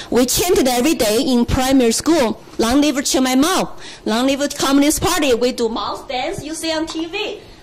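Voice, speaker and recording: Amid noticeable background noise and audible room echo, a woman with a Chinese accent talks at a moderate pace in a high pitch with lively intonation. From China. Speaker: political candidate. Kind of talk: speech. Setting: stage with audience.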